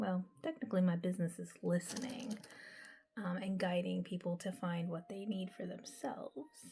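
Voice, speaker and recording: A woman with a medium pitch speaks in a dark, mellow, somewhat breathy tone with ordinary pitch variation. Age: 40s. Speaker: mental health counselor and beauty vlogger. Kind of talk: casual vlog while doing skincare. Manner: chatty, with frequent um fillers.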